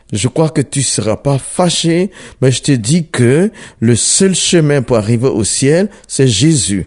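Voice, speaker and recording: A man with a fairly high voice talks at a very slow pace, his intonation lively. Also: very even loudness. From Ivory Coast. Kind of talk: testimony.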